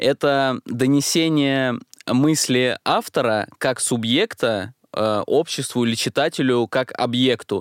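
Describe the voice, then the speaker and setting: Over a silent background in a very clean recording, a man speaks very slowly at a medium pitch with ordinary pitch variation. His loudness stays very even, and the sound is dry and close with no echo. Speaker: podcast co-host. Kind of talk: casual podcast chat.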